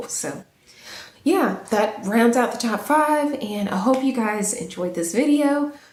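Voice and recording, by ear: A woman puts on a raspy character voice, fairly high in pitch. She delivers it at a fairly slow pace with lively intonation.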